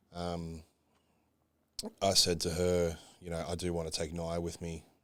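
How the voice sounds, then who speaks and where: Very deep, low male pitch in an Australian accent, monotone and flat, at a fairly quick pace. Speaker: bodybuilder. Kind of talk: casual chat. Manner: casual, swearing, filler-heavy.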